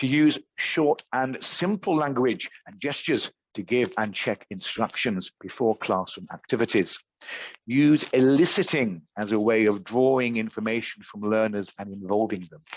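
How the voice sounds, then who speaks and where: Recorded dry and close with no echo, a man with an English accent speaks at a medium pitch and moderate pace, his intonation lively and his loudness swinging widely. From England. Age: 50s. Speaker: teacher trainer. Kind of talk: online teacher training workshop. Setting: video call.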